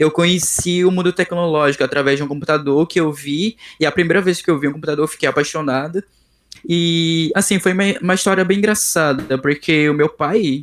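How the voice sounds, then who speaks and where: This man has a high pitch and talks at a fairly quick pace. His pitch varies in an ordinary way, and his loudness stays very even. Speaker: software developer. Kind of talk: interview. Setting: video call. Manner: halting.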